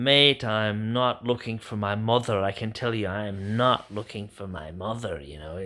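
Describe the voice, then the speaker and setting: The put-on character voice moves at a moderate pace with hardly any pauses. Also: man, fairly low pitch for a man, ordinary pitch variation. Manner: scoffing.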